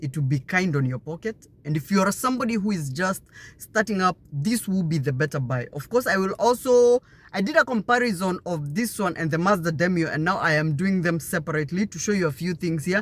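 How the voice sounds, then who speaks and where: An animated voice at a fairly quick pace, with a Kenyan accent. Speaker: car reviewer. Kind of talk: product review walkaround.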